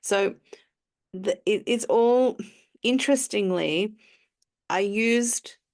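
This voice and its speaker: Over a quiet background, a woman with an Australian accent speaks at a very slow pace. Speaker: emotional alignment coach. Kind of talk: interview answer.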